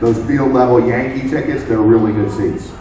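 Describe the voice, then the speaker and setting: A man with an American accent is heard with audible room echo and noticeable background noise. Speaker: sports radio and TV host. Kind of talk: live event talk show banter. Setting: sports bar with audience. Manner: loud, belting.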